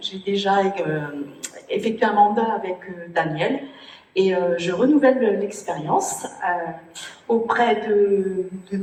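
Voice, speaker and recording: A woman at medium pitch, very slow pace and ordinary pitch variation, with noticeable background noise. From Brittany, Morbihan. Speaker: municipal election candidate. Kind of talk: self-introduction at public meeting. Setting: public meeting with microphone. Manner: halting.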